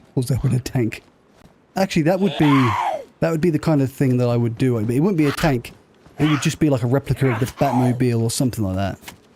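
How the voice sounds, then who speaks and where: Loudness stays very even, with noticeable background noise. The pace is very fast and the pitch varies in an ordinary way. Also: man, medium pitch for a man. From southern England (Southampton). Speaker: gaming streamer. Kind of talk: casual chat. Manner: slurring.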